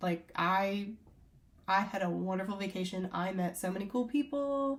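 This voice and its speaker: With a lively intonation and a somewhat breathy quality, the woman talks rather slowly. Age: 20s. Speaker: travel vlogger. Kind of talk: casual review to camera. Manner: casual, filler-heavy.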